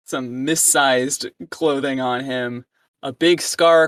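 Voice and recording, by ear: The text is read aloud in a natural voice. Nothing intrudes from the quiet background.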